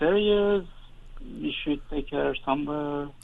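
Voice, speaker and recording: A man's voice over noticeable background noise. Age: 60s. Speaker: caller. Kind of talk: call-in conversation. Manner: halting.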